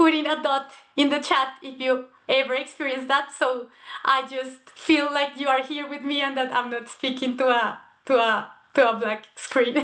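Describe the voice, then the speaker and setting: This woman's intonation stays fairly even. She has a high pitch and keeps a moderate pace. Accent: non-native. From Colombia, Bogotá. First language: Spanish. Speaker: cultural organization member. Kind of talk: presentation. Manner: halting, with fillers and repetitions.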